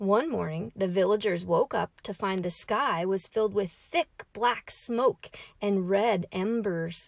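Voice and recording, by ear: This is reading aloud in a natural voice. Its pitch variation is ordinary.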